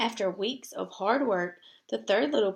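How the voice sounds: A natural reading voice is heard here. It fills the clip.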